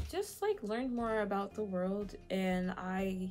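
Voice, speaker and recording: A woman's voice at a medium pitch. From Nigeria. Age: 20s. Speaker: YouTuber. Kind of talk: Q&A vlog. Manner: casual, filler-heavy.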